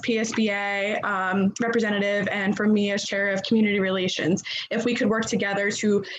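Audible room echo and noticeable background noise surround a woman's fairly quick speech. Her medium pitch holds a monotone, flat intonation. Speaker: school board committee chair. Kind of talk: public meeting. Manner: fast.

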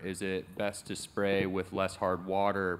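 This very clean recording with a silent background features a man with a fairly low pitch. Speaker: audience member, manufacturer. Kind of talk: audience question. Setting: stage with audience.

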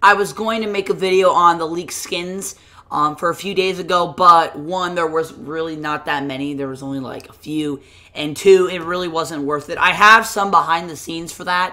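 At a moderate pace, a woman speaks in a bright, sharp tone with big swings in loudness. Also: fairly low pitch for a woman, ordinary pitch variation. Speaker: gaming YouTuber. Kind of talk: casual vlog commentary.

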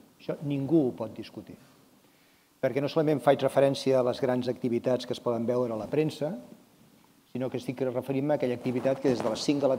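Fairly quick and with fairly even intonation, a man talks over noticeable background noise. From Catalonia. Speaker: mayor and sports council vice-president; mayor, sports council vice-president. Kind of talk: panel discussion. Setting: stage with audience. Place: hall. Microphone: lapel.

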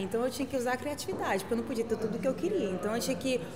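Ordinary pitch variation shapes a woman's speech amid noticeable background noise. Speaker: interviewee. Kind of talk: interview answer. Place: cafe.

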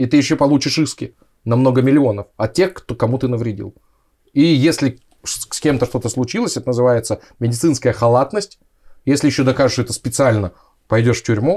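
A man's somewhat breathy, dark and mellow voice, fairly quick yet broken by long, frequent pauses, with ordinary pitch variation. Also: medium pitch for a man. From Siberia, Russia (Krasnoyarsk). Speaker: anesthesiologist. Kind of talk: casual interview chat.

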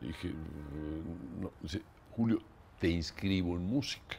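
The pace is fairly slow. Vocal fry runs through the voice. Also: man. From Mexico. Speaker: composer; interviewee. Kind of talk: interview. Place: home room.

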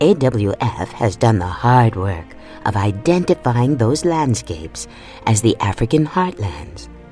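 The sound is dry with no echo, the pace is fairly slow, and faint music plays in the background. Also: woman, very deep, low pitch for a woman. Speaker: voice actor. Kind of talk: audiobook narration.

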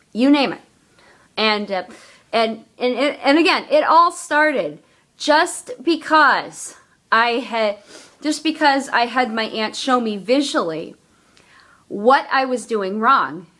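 Over a quiet background, a woman with a high, bright, sharp voice and lively intonation talks at a very slow pace, leaving long, frequent pauses. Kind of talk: casual vlog talk to camera. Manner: stuttering, hesitant. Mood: earnest, personal. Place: home room. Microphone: phone near.

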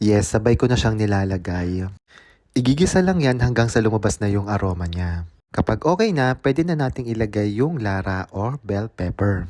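Recorded very cleanly against a silent background, a man's fairly low, dark, mellow voice moves with lively intonation. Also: moderate pace. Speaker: vlogger. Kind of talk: cooking vlog tutorial.

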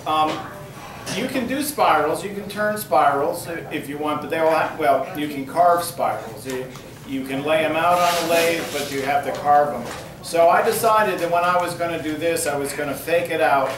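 A man at a high pitch, with ordinary pitch variation and a moderate pace, amid noticeable background noise and audible room echo. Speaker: woodturning demonstrator. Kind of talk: demonstration talk. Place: classroom.

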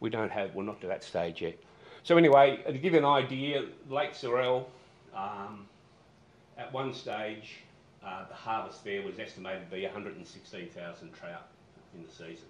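In a room with audible echo and light background noise, a man with an Australian accent uses lively intonation and long, frequent pauses. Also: moderate pace, big swings in loudness. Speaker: fisheries manager. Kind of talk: conference presentation. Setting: stage with audience. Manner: casual. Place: hall. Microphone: podium.

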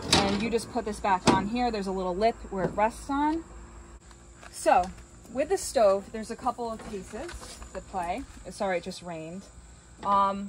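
A woman at a moderate pace with long, frequent pauses, big swings in loudness and ordinary pitch variation, over noticeable background noise. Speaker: rental host. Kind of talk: tutorial. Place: garden. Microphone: phone near.

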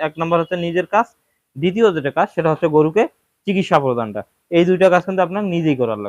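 A man with a high pitch and lively intonation is heard in a dry, close sound with no echo. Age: 20s. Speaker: cattle farmer and video creator. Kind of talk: casual vlog talk to viewers.

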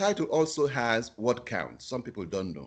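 A man with vocal fry speaks at a moderate pace. His intonation is lively, and the background is quiet. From Africa. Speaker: journal editor; keynote speaker. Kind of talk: webinar presentation. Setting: video call. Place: home room. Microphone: video call.

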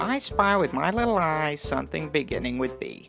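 In a cartoonish character voice with a middle pitch, the speaker talks at a moderate pace over faint music in the background.

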